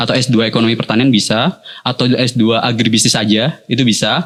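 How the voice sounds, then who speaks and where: At a fairly quick pace, a man speaks at a medium pitch with a Jakarta accent. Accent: Jakarta-like Indonesian. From Purwokerto, Central Java, Indonesia. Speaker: university lecturer. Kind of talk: casual interview.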